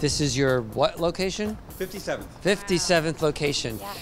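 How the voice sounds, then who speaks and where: A man's voice over clear background music. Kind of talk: ceremony speech. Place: street. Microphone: handheld.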